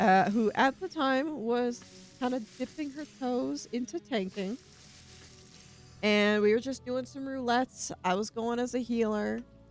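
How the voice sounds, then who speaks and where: A woman speaks fairly slowly with an American accent, her pitch fairly high with ordinary variation. Music plays in the background. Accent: southern, stronger today. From Virginia, US. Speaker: streamer. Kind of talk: casual livestream chat while gaming. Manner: casual, conversational.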